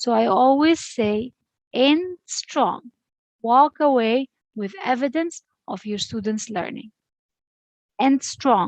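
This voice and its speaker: A woman with an Arabic accent speaks in a high pitch at a very slow pace, her intonation lively and broken by long, frequent pauses. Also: dry, close sound with no echo. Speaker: education lecturer. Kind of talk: online lecture.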